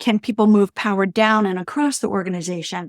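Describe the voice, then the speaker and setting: A normal speaking voice moves at a fairly quick pace with ordinary pitch variation. The recording is very clean with a silent background and a dry, close sound with no echo. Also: woman. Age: 60s. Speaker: leadership coach and entrepreneur. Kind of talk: interview. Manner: casual, with many fillers.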